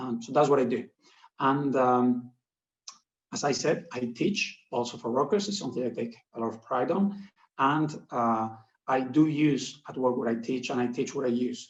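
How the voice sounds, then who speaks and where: Heard with audible room echo, a man speaks at a medium pitch and moderate pace with ordinary pitch variation. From Spain. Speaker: professor. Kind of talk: lecture. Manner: halting.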